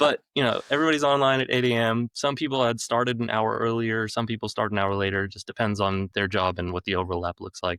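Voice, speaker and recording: A man with an American accent talks at a very fast pace in a fairly low pitch with a bright, sharp tone. The recording is very clean with a silent background and a dry, close sound with no echo. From United States. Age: 40s. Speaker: business owner, staffing firm executive. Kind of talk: podcast interview.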